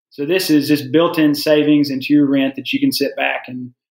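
A man with a Southern US accent speaks at a fairly quick pace. His pitch is fairly high. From US South. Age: 30s. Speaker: pharmacist. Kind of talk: casual chat.

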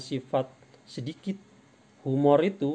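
A man with a medium pitch speaks slowly in a dark, mellow tone that is also clear and smooth.

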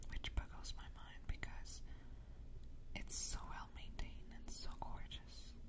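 Someone whispers in a soft-spoken way. Loud background noise runs underneath. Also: woman. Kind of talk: soft-spoken descriptive chat. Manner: soft close-mic whisper. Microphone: studio mic.

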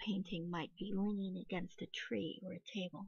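A woman speaks at a medium pitch in a soothing, calm tone that is somewhat breathy. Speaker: meditation guide. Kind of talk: guided meditation, reading aloud second-person visualization script from a book. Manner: soothing, calm and gentle, lingering on sensory descriptions.

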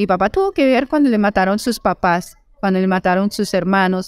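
At a fairly quick pace, a woman speaks in a medium pitch over a quiet background, the sound dry with no echo. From Colombian Llanos (Meta, Villavicencio); Meta, Colombia. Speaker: novelist; interviewee. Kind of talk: interview. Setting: book fair. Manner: halting, many repetitions. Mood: earnest, reflective life story. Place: shop. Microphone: handheld.

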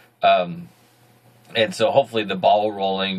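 A man talks at a fairly low pitch with a fairly bright tone.

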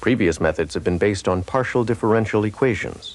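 There is noticeable background noise. A man speaks at a fairly quick pace in a fairly low pitch. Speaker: promotional film narrator. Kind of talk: scripted corporate demo narration, like a vintage educational film. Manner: formal, measured, even-paced and authoritative; dry, matter-of-fact technical delivery.

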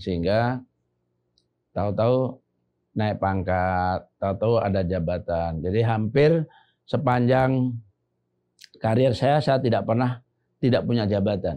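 A man speaks at a fairly slow pace with long, frequent pauses, very even loudness and ordinary pitch variation. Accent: Javanese. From Central Java (Klaten). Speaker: retired army general. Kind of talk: casual podcast interview. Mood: calm, reflective storytelling. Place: studio. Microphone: lapel.

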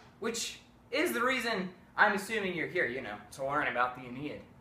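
The room has an audible echo. The speech moves at a moderate pace. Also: man. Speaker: presenter. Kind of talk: playful mock lecture. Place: home room. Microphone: camera far.

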